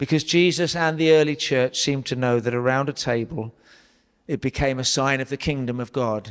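A man's medium-pitched voice, clear and smooth in tone, with fairly even intonation at a moderate pace.

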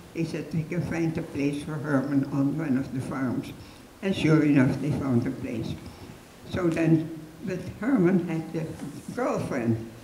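Speaking at a fairly slow pace, a woman with a very deep, low pitch and ordinary pitch variation is heard in a room with audible echo and light background noise. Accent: Dutch. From Netherlands. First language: Dutch. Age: 80s+. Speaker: Holocaust rescuer, resistance member. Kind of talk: public talk, personal testimony. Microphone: handheld.

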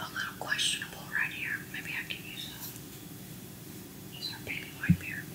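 Whispering at a moderate pace, broken by long, frequent pauses. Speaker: ASMR creator painting. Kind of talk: ASMR personal attention. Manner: soft-spoken. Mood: concentrating, relaxed. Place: home room.

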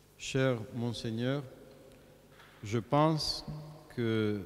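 There is light background noise. A man talks with ordinary pitch variation. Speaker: clergyman introducing a lecture. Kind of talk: formal introduction. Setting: church. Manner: formal. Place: church. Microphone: podium.

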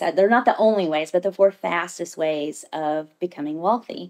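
A woman with an American accent speaks at a fairly slow pace over a quiet background. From Southern Indiana; Indiana. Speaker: cosmetics sales director and entrepreneur; cosmetics sales director. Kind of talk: casual interview. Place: meeting room. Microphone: studio mic.

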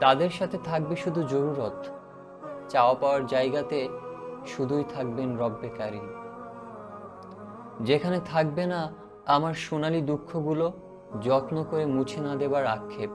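A man speaks at a fairly high pitch. Music plays behind his voice. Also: ordinary pitch variation. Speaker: voiceover narrator. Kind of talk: reflective spiritual story narration. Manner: calm, emotional.

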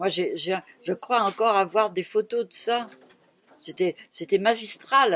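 Her pitch shifts in an ordinary way. The woman talks very slowly. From Brittany, near Rennes. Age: 80s+. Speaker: retired shopkeeper. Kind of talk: oral history interview. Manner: halting.

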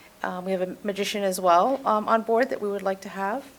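A woman with an American accent speaks at a very fast pace. Her pitch sits in the medium range and her intonation stays fairly even. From Massachusetts. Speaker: youth program presenter. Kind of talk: budget presentation at council meeting.

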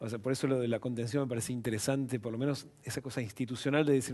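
Talking at a very fast pace, a man speaks with a Rioplatense accent. Behind him, the background stays quiet. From Argentina. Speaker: TV show host. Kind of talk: broadcast interview and moderated discussion. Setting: studio. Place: studio. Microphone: headset.

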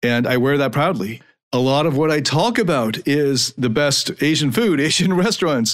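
A man with an ordinary speaking voice and a fairly high pitch talks at a moderate pace with lively intonation and very even loudness, in a very clean recording with a silent background. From Canada, suburban Toronto. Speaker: podcast host and life coach. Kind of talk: monologue podcast.

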